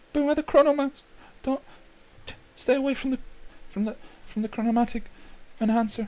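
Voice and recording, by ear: A man puts on a squeaky character voice at an extremely high pitch. His fairly even intonation moves at a fairly quick pace, broken by long, frequent pauses.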